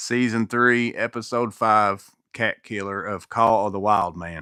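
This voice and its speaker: A man's fairly low voice, bright and sharp in tone, with fairly even intonation, in a very clean recording with a silent background. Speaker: maintenance youtuber. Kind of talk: live stream Q&A chat. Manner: casual, halting.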